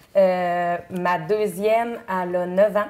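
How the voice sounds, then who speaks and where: A woman talks at a very slow pace and medium pitch with monotone, flat intonation. There is noticeable background noise. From Quebec, Chaudière-Appalaches (Bellechasse). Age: 30s. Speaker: singing contestant. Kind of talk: interview. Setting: TV studio. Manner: halting, many fillers.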